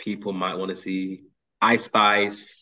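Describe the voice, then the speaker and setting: A man is speaking. His pace is very slow. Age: 30s. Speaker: podcast co-host. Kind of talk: casual chat.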